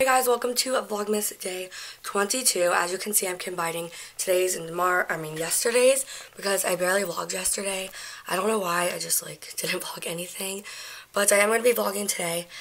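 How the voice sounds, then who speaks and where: With ordinary pitch variation, a woman talks at a fairly quick pace. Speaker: vlogger. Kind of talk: casual vlog chat. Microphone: phone near.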